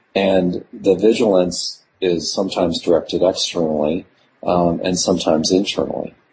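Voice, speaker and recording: A man speaks with a very deep, low pitch and a somewhat breathy voice. His pace is moderate and his intonation fairly even. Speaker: scholar of well-being and flourishing. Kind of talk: interview conversation. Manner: halting with many fillers.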